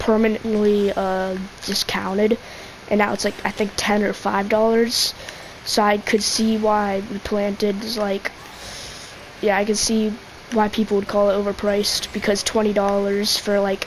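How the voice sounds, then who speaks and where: A woman at medium pitch, monotone and flat, at a moderate pace amid noticeable background noise. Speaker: gaming youtuber. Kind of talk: gameplay commentary rant. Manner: halting, stutters; filler-heavy casual.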